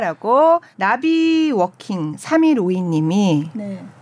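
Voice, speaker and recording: Her pitch is medium for a woman. This woman's voice rises and falls over a very wide range. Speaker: announcer co-hosting an arts podcast. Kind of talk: casual arts talk show chat. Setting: studio. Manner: warm, reactive.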